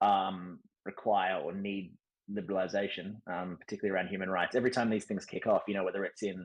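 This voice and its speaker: Very fast and monotone, a man with an Australian accent talks in a fairly low pitch with flat intonation. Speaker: podcast host, former diplomat. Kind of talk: casual discussion. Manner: hesitant, many fillers.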